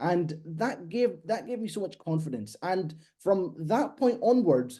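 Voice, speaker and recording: A man with a Scottish accent speaks in a dark, mellow tone. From Scotland. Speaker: copywriter. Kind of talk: podcast interview.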